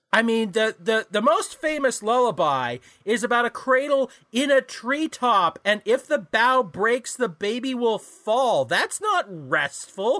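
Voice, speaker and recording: On a very clean recording with a silent background and a dry, close sound with no echo, a man uses a raised, projected voice at an extremely high pitch, with a bright, sharp tone, lively intonation, very even loudness and a fairly slow pace. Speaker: podcast host. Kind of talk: casual comedic banter.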